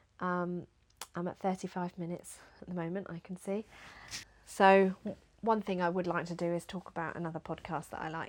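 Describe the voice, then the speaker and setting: On a very clean recording with a silent background, a woman speaks at a fairly quick pace in a fairly low pitch with monotone, flat intonation. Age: adult. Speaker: knitting podcaster. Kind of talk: casual chat. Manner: fast; hesitant with many fillers.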